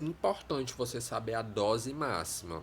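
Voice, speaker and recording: A somewhat breathy male voice with lively intonation and audible room echo. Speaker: teacher. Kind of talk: lecture. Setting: live stream.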